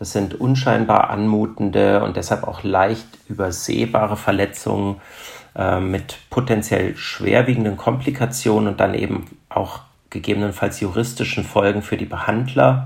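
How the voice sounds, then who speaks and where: A man speaks with vocal fry at a fairly low pitch. His pitch varies in an ordinary way. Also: moderate pace. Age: 40s. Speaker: trauma surgeon. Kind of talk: expert interview. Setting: remote recording over the internet.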